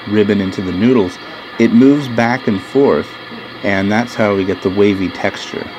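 This man's fairly low voice moves at a moderate pace, its pitch varying in an ordinary way, while noticeable background noise carries on behind him. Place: factory.

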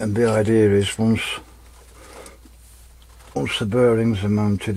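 Here a man speaks with fairly even intonation and a fairly low pitch. His pace is fairly slow. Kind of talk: tutorial. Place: workshop. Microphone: camera far.

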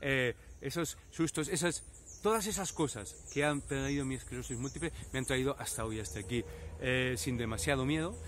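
A man speaks at a moderate pace with very wide pitch swings. The sound is dry with no echo, and there is light background noise. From Spain, Valladolid; Spain. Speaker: YouTuber with multiple sclerosis. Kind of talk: personal reflection to camera. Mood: reflective, personal. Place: open country. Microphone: phone near.

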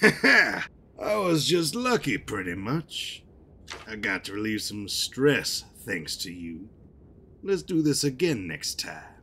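Using a put-on character voice, a man talks slowly at a fairly low pitch with big pitch swings and a bright, sharp tone.

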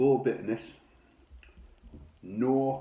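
A man speaks amid audible room echo. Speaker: beer reviewer. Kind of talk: casual review chat. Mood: enthusiastic, relaxed. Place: home room. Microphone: phone near.

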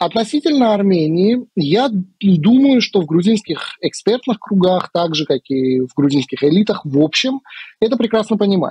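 Speaking at a moderate pace, a man with a high pitch has a dark, mellow tone and very wide pitch swings. The background is quiet, and the sound is dry with no echo. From Georgia. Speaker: political analyst. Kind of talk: interview. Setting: video call. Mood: calm, analytical. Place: home room. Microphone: earbuds.

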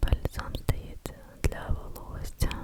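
A woman whispers in a gentle tone at a very slow pace. Noticeable background noise is present. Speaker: ASMR creator. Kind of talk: casual talk to camera, product show and tell. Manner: soft, gentle, whispery.

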